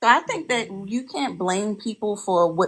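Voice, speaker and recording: A somewhat breathy woman's voice with ordinary pitch variation, on a very clean recording with a silent background. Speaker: panelist. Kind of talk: panel discussion.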